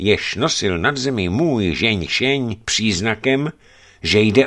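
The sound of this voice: This is an unforced reading voice. It comes through plainly.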